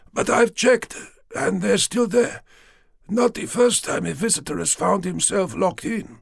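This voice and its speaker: A man puts on a raspy character voice with a high pitch. He delivers it at a moderate pace. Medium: read story. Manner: nervous, superstitious.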